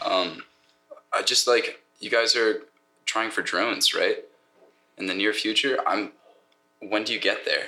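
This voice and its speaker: Talking at a fairly slow pace, a man leaves long, frequent pauses. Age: 19. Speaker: architecture intern. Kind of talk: casual chat.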